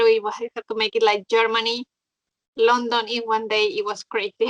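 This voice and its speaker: A woman with a Mexican accent speaks at a fairly quick pace and a fairly high pitch, her intonation monotone and flat. The sound is dry and close with no echo. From Mexico. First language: Spanish. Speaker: motorcyclist. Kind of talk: interview.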